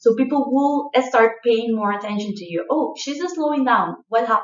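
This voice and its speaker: With a strong non-native accent, a woman talks with lively intonation and big swings in loudness. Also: fairly high pitch for a woman, moderate pace. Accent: strong foreign. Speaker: leadership coach. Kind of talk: online course lecture. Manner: animated.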